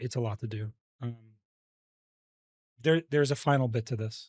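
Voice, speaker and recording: Recorded with a dry, close sound and no echo, a somewhat breathy man at a medium pitch speaks at a fairly quick pace with ordinary pitch variation and long, frequent pauses. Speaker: vtuber streamer. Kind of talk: stream monologue statement. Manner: halting, many fillers.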